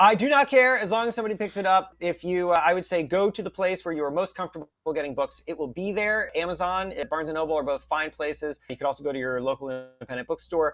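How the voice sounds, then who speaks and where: A man talks in a squeaky voice with a high pitch and an animated tone. He rushes at a very fast pace, with hardly any pauses and lively intonation. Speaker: author. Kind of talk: interview. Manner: fast and animated.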